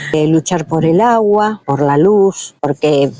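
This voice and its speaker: A woman's voice over noticeable background noise, dry and close with no echo. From Argentina, Lanús (Greater Buenos Aires). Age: 60s. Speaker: neighborhood resident. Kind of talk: interview testimony. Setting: outdoors in a plaza. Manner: hesitant, many fillers.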